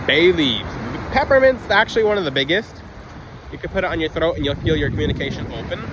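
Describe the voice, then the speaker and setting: A man's pitch swings very widely while noticeable noise sounds in the background. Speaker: crystal healing video creator. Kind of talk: unscripted monologue. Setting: outdoors on a beach. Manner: occasional stutter; off-the-cuff, unedited.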